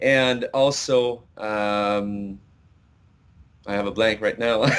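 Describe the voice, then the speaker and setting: In a Quebec accent, a man speaks at a very slow pace with a fairly low pitch and fairly even intonation. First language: French. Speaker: country singer. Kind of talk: interview. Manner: halting, many fillers.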